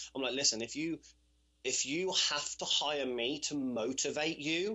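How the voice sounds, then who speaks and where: A British accent with ordinary pitch variation. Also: man. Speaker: personal trainer. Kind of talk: podcast interview answer. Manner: casual, conversational.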